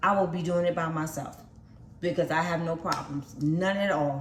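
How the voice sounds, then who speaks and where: There is noticeable background noise and audible room echo as a woman speaks in a fairly low pitch with ordinary pitch variation. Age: 50s. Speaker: vlogger. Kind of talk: casual vlog talk to camera. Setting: at home. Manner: rambling, repetitive.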